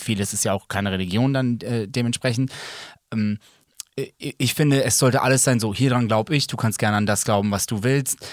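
At a fairly quick pace, a man with a plain, everyday voice talks at a medium pitch with ordinary pitch variation. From Germany, Serbian family. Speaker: podcast co-host. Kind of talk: casual chat.

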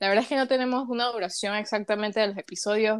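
A woman with a Panamanian accent, fairly high pitch, ordinary pitch variation and a fairly quick pace, in a very clean recording with a silent background. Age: young. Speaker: podcast co-host, psychology student. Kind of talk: casual chat.

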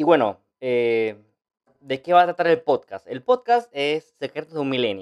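A man with a fairly high pitch and very wide pitch swings talks at a fairly slow pace in a dry, close sound with no echo. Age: 20s. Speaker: podcast host and social media influencer. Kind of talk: unscripted podcast intro monologue. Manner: animated; halting, many fillers and restarts.

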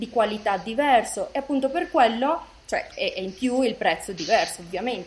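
Lively intonation from a woman, her pitch fairly high, her pace moderate. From Italy, moved to Colombia around age seven. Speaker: designer and fashion brand founder. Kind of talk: interview. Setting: remote call.

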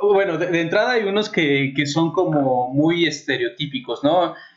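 Very slowly, a man speaks in a central Mexican accent. His pitch is high and his intonation lively. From Mexico City, raised partly in Puebla. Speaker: nanotechnologist guest. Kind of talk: casual chat.

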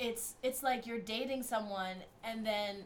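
At a moderate pace and with ordinary pitch variation, a woman speaks amid audible room echo. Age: 20s. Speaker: podcast co-host. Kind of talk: casual chat. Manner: animated.

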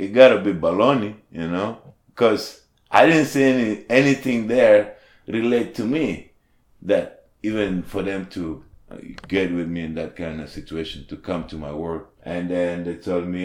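A man with a non-native accent, fairly low voice, lively intonation. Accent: foreign. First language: not English. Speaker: formerly homeless restaurant worker. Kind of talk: interview testimony. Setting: studio. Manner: halting.

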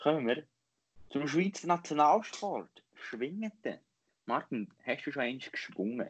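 Speaking very slowly in a Lucerne accent, a man uses lively intonation. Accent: Lucerne hinterland Swiss German dialect. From Switzerland, Lucerne hinterland. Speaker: podcast host. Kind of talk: casual chat.

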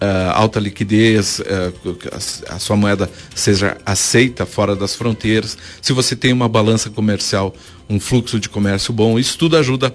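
Moderate-paced speech from a man with a fairly low pitch and ordinary pitch variation. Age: 50s. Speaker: economist. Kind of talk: radio interview. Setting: studio. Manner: halting.

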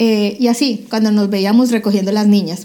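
A woman speaks at a fairly quick pace with a fairly high pitch. Her tone is dark and mellow. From Colombia, Cali. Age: 40s. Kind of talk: testimony.

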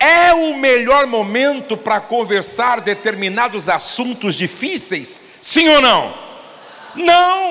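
A man's raised, projected voice, extremely high and very slow, with very wide pitch swings, audible room echo and noticeable background noise. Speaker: pastor. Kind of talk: sermon.

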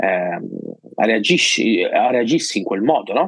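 A man with a plain, everyday voice talks at a fairly slow pace and a fairly low pitch. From Sicily, province of Palermo. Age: 30s. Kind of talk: testimony.

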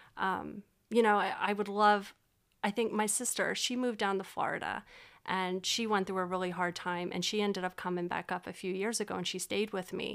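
A woman with an American accent talks at a fairly quick pace in a flat monotone, on a very clean recording with a silent background. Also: medium pitch for a woman. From Pennsylvania, Berks County (Reading). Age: 30s. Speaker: model and social service worker. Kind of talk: casual chat.

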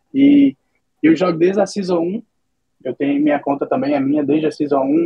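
With an ordinary speaking voice, a man talks at a fairly quick pace and fairly high pitch with lively intonation. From Brazil, Minas Gerais. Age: 20s. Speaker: esports team owner. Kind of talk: casual interview.

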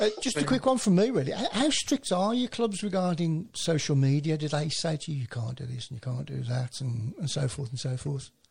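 A man talks at a fairly quick pace in a somewhat breathy, fairly high voice with very wide pitch swings. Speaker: football panelist. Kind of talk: casual chat.

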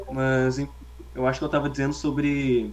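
Room echo can be heard clearly as a man talks. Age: young. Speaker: podcast co-host. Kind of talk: casual chat.

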